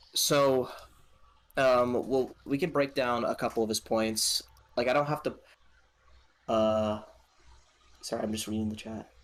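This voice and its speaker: At a fairly slow pace, a man of medium pitch speaks with fairly even intonation and long, frequent pauses. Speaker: gaming podcast co-host. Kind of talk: casual chat. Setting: live stream. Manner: monotone; halting.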